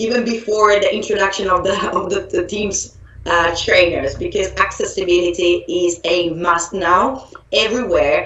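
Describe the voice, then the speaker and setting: A woman with an Italian accent, heard with audible room echo and noticeable background noise. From Italy. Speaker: software trainer. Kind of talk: online training presentation. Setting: live online event. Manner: hesitant with fillers and restarts.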